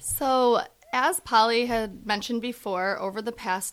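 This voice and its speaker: A woman talks at a moderate pace in a plain, everyday voice with ordinary pitch variation, in a very clean recording with a silent background. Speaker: physical therapist. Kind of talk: professional podcast interview.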